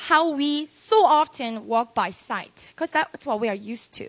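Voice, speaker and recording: At a moderate pace, a woman speaks with a Korean accent. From South Korea. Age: 20s. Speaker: pastor. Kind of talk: sermon. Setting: live audience at worship service. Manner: animated.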